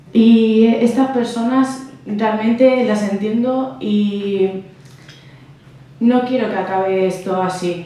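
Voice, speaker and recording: A woman talks at a very slow pace with a fairly high pitch and ordinary pitch variation. Noticeable background noise and audible room echo are present. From abroad, came to Spain as a child. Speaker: political candidate. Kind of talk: political speech. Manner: hesitant, many fillers.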